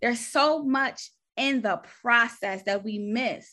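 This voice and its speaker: A woman's raised, projected voice with ordinary pitch variation, in a very clean recording with a silent background. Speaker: registered nurse and faith speaker. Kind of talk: faith testimony interview.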